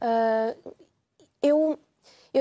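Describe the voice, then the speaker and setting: Dark and mellow in tone, the voice sounds dry and close with no echo against a quiet background. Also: woman. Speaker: psychologist. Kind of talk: TV testimony. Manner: halting, hesitant.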